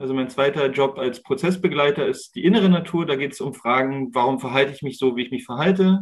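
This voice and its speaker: Hardly pausing, a man races along at a very fast pace, his fairly high voice showing ordinary pitch variation. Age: 30s. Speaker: wilderness educator. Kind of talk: interview.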